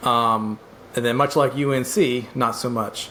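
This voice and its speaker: There is noticeable background noise. A man talks at a medium pitch. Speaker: podcast co-host. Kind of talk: casual sports podcast talk. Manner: casual, hesitant with fillers.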